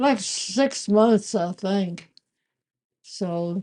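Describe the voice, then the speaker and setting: At a very slow pace, a woman speaks in a dark, mellow tone at medium pitch. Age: 80s+. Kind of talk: interview answer.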